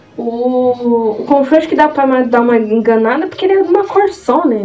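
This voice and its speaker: With lively intonation and a moderate pace, the voice carries over noticeable background noise. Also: woman. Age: 20s. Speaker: podcast host. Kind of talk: casual chat.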